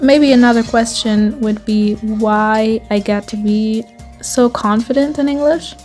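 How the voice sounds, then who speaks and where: Music plays in the background as a woman talks fairly slowly. Her voice is fairly high with fairly even intonation. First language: German. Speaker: writer. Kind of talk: casual talk to camera.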